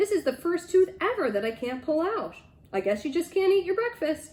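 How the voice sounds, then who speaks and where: This is a put-on character voice, squeaky and full of very wide pitch swings. The pace is moderate. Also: woman, extremely high pitch for a woman. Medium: read story. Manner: blunt, sassy.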